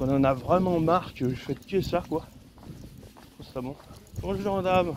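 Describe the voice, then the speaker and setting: Noticeable background noise sits behind a man talking at a fairly slow pace. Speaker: vlogger. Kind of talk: casual vlog monologue. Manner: loud.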